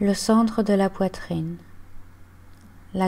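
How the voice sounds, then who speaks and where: A woman speaks at a very slow pace and medium pitch. Her tone is dark and mellow, calm and soothing. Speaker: yoga and meditation guide. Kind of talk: guided relaxation / yoga nidra body scan. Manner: calm, slow, soothing.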